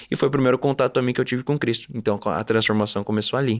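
Man at a medium pitch with fairly even intonation, in a very clean recording with a silent background. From Curitiba, Paraná, Brazil. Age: 20s. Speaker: actor. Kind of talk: testimony. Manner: halting.

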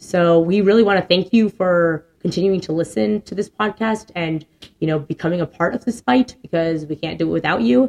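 A plain, everyday voice at a fairly quick pace, with lively intonation. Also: woman, fairly low pitch for a woman. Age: 30s. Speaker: podcast co-host and teacher. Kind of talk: casual chat. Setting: studio.

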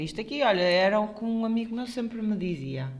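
A woman in a European Portuguese accent, medium-pitched with very wide pitch swings, at a moderate pace. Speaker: podcast co-host, health professional. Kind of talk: casual chat.

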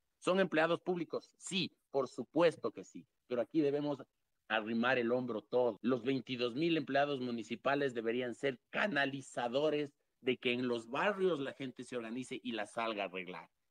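This man has a plain, everyday voice, keeping a medium pitch, ordinary pitch variation and a moderate pace. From Quito, Ecuador. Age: 30s. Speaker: mayoral hopeful. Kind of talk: political interview. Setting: online audio room.

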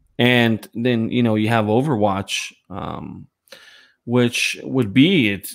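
A man speaks at a medium pitch in a normal speaking voice, with fairly even intonation. The recording is very clean, with a silent background. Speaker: panelist. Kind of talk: casual panel chat about gaming news.

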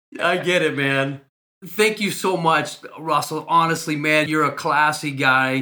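A man with fairly even intonation and fairly high pitch, an ordinary speaking voice. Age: 50s. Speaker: recovery podcast host. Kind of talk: interview.

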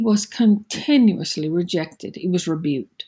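This woman's voice is somewhat breathy and dark and mellow in tone, with very wide pitch swings at a fairly slow pace. The recording is very clean, with a silent background. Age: 60s. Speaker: preacher. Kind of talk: devotional sermon. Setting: at home.

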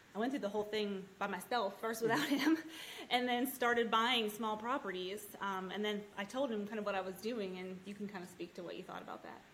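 Using an unremarkable speaking voice, a woman speaks at a fairly quick pace in a medium pitch, with ordinary pitch variation and big swings in loudness. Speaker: land investor, mother. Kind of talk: casual interview chat.

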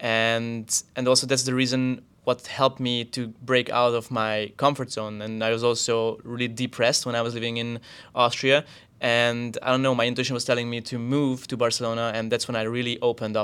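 The speaker uses a monotone, flat intonation with a Hungarian accent, on a very clean recording with a silent background. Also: man, medium pitch for a man. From Hungary. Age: 30s. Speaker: podcast co-host and YouTuber. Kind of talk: casual chat.

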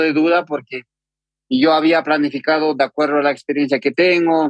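With a normal speaking voice, a man moves along at a fairly quick pace, his intonation fairly even. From Peru, Andean highlands of Huancavelica. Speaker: trail runner. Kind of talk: interview.

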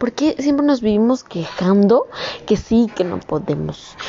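Noticeable background noise sits behind a woman speaking at a fairly slow pace with fairly high pitch and lively intonation. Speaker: student vlogger. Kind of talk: motivational monologue. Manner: spontaneous, unscripted; animated. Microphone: poor audio quality.

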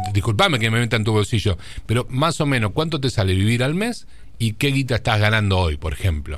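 A man's fairly quick, medium-pitched delivery with lively intonation and very even loudness. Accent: Rioplatense. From Argentina, General Pico (La Pampa). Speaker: radio host. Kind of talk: casual radio interview.

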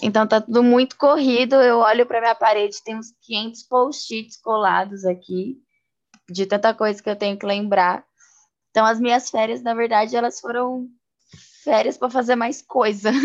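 A woman with a plain, everyday voice talks at a moderate pace, her fairly high pitch held in fairly even intonation. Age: 20s. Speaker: podcast co-host. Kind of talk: casual chat.

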